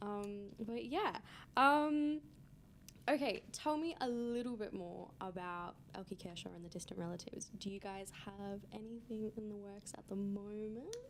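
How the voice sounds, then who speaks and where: Speaking with an Australian accent, a woman talks at a fairly slow pace with a medium pitch and ordinary pitch variation. Her loudness swings widely. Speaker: student radio host. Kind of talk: casual interview chat. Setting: radio studio.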